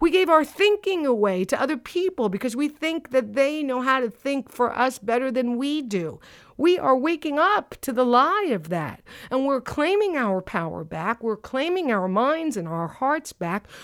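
This very clean recording with a silent background has a woman speaking at a moderate pace in a high pitch with very wide pitch swings. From North Jersey. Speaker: podcast host and author. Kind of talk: personal reflection monologue; guided breathing exercise.

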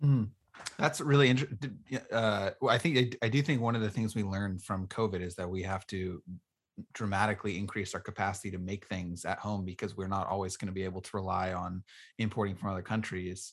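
A man speaks at a fairly quick pace in a plain, everyday voice. His pitch is fairly low, with ordinary variation. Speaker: podcast host and state house candidate. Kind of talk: casual interview.

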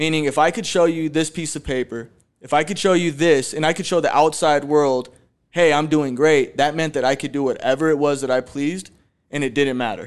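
With an ordinary speaking voice, a man speaks at a fairly quick pace and a fairly high pitch, with fairly even intonation over a quiet background. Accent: American. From Phoenix, Arizona. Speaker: recovering addict and real estate agent. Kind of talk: testimony. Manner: casual, many fillers.

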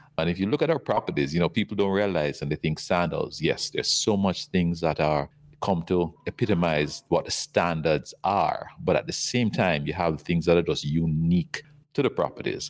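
At a moderate pace, a man speaks with a very deep, low pitch, ordinary pitch variation and very even loudness. The recording is very clean with a silent background. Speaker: resort company executive. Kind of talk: casual interview.

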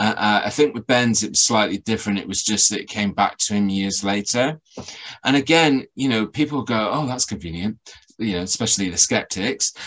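A man with an unremarkable speaking voice talks at a fairly quick pace in a fairly low pitch, with ordinary pitch variation. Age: 40s. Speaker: paranormal researcher and podcaster. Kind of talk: casual interview chat.

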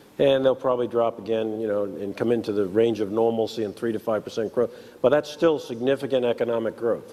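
Very fast speech from a man with a New York accent, medium pitch and fairly even intonation. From New York City. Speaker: show staff member. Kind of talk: casual chat. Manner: halting.

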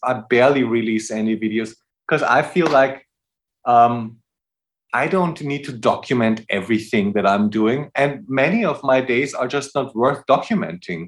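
Over a quiet background, a man with a German accent talks at a moderate pace with lively intonation. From Austria. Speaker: jazz musician. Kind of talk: casual chat.

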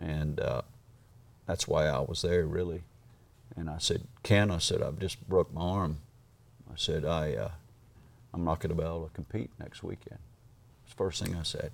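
A man with a very deep, low pitch speaks at a moderate pace, his voice showing vocal fry. His loudness swings widely, and he takes long, frequent pauses. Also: ordinary pitch variation. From Australia. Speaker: horse trainer. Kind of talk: interview.

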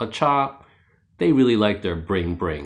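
A man with a New York accent speaks at a fairly low pitch and moderate pace. His intonation is lively, and the background is quiet. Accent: New York American. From New York City (Queens). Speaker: podcast narrator. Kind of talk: scripted narration.

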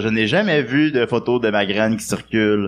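A man is speaking. His pace is moderate. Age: 30s. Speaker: comedian. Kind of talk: casual chat. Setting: stage with audience.

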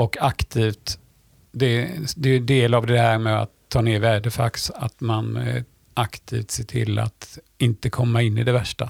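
Somewhat breathy and at medium pitch, a man speaks fairly slowly with fairly even intonation in a dry, close sound with no echo. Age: 60s. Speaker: sailor and teacher. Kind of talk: casual interview.

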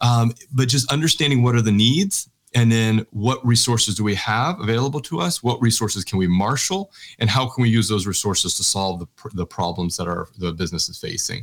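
Using lively intonation, a man with a medium-pitched voice, an unremarkable speaking voice, talks at a fairly quick pace. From Texas. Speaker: researcher and social entrepreneur. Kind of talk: interview conversation.

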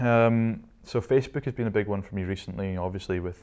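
A man with a Scottish accent talks at a fairly quick pace with ordinary pitch variation. His tone is dark and mellow against a quiet background. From Scotland, Shetland Islands. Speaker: entrepreneur. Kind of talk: interview.

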